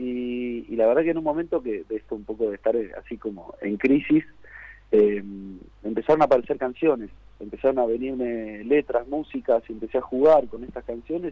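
A man with a Rioplatense accent speaks in a dark, mellow tone, with big swings in loudness. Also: medium pitch for a man, ordinary pitch variation, moderate pace. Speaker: rock singer. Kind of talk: radio interview.

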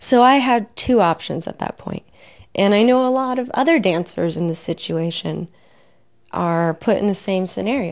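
A woman at a moderate pace with lively intonation, against a quiet background. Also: medium pitch for a woman. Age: 30s. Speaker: podcast host, former dancer. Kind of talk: solo podcast monologue. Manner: animated.

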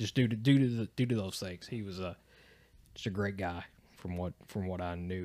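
In an Appalachian accent, a man speaks on a very clean recording with a silent background. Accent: Appalachian Southern US. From Eastern Kentucky. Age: 30s. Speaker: podcast guest. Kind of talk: casual chat. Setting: home studio.

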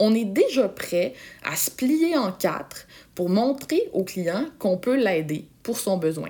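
Speaking at a very slow pace, a woman with a dark, mellow tone and fairly high pitch makes very wide pitch swings. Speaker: podcast host, sales coach. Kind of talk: solo podcast tutorial. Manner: casual, animated.

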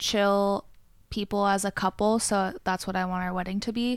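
A woman speaks in a plain, everyday voice at a medium pitch with ordinary pitch variation, recorded very cleanly against a silent background. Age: 20s. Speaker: waxing specialist. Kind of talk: casual chat. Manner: frequent laughter.

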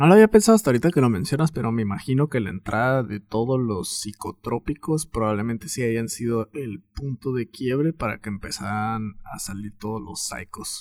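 A man with a Mexican accent speaks at a moderate pace and medium pitch, with ordinary pitch variation, big swings in loudness, hardly any pauses, and a dry, close sound with no echo. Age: 30s. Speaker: podcast host. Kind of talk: casual chat.

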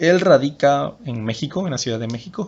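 A normal speaking voice from a man, pitched fairly high and moving at a moderate pace. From Mexico, Tabasco (Huimanguillo). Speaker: podcast host, personal development coach. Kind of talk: motivational talk.

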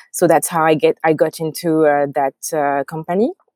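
Moderate pace and ordinary pitch variation, with a French accent, in a dry, close sound with no echo. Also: woman. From France. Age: young. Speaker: tech founder. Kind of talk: interview. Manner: halting.

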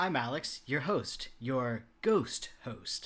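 A man performs a put-on character voice at a medium pitch. He speaks at a very slow pace. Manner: spooky, theatrical.

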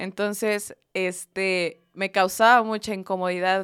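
A plain, everyday voice from a woman, medium in pitch and fairly even in intonation, at a fairly slow pace on a very clean recording with a silent background. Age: 20s. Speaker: university student and church youth volunteer. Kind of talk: casual faith-based podcast chat.

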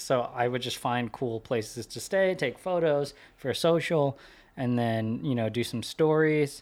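On a very clean recording with a silent background, a man talks fairly slowly in an ordinary speaking voice, at a medium pitch with ordinary pitch variation. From US West Coast, California Bay Area. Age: 20s. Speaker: social media marketer. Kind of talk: casual interview chat. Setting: studio.

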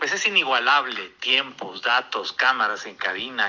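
A man speaks at a fairly slow pace, and noticeable background noise runs underneath. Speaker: motorsport commentator. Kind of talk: casual chat.

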